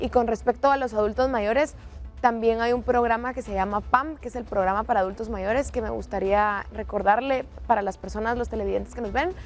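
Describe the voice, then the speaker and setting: A woman with a fairly high pitch and fairly even intonation, at a fairly quick pace, with music in the background. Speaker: TV news co-host. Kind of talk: TV panel discussion.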